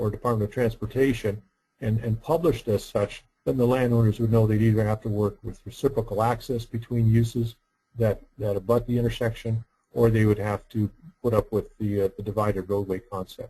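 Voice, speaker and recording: A man's medium-pitched, somewhat breathy voice with a dark, mellow tone, fairly even intonation and a fairly quick pace. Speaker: roundabout engineer and workshop presenter. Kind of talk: webinar lecture. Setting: online webinar. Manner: soft-spoken; halting with repetitions.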